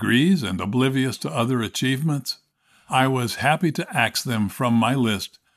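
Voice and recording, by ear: With a quiet background, the text is read aloud in a natural voice with ordinary pitch variation.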